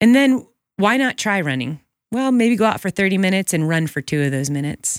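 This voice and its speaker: A woman at medium pitch speaks at a fairly quick pace with very wide pitch swings. The sound is dry and close, with no echo. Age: 40s. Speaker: professional ultrarunner. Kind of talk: casual interview conversation.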